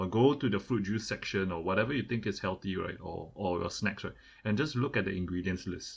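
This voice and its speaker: A man speaks at a fairly quick pace with a Singaporean accent, his voice somewhat breathy and fairly low in pitch. The background is quiet. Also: ordinary pitch variation. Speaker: podcast co-host. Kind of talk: casual chat. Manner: repetitive, stammering restarts.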